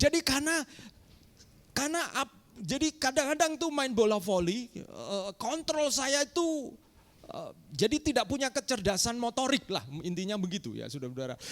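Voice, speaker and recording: Animated and lively in intonation, a man speaks at an extremely high pitch, and the sound is dry and close with no echo. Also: moderate pace. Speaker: pastor. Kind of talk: sermon. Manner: animated, addresses congregation.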